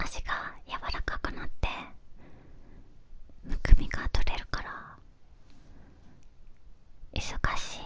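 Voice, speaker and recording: A soft-spoken woman whispers at a very slow pace, with long, frequent pauses, big swings in loudness and a dry sound with no echo. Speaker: ASMR-style creator. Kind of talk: soft casual talk about skincare. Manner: soft close-mic whisper. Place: home room. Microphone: studio mic.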